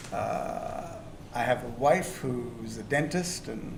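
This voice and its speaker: Noticeable background noise together with audible echo from the room. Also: man. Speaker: retired engineer, audience volunteer interviewee. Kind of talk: casual interview. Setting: stage with audience.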